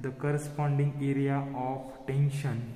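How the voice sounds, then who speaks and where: In a room with audible echo, a man speaks at a very slow pace with a monotone, flat intonation. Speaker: engineering lecturer. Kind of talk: lecture. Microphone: phone near.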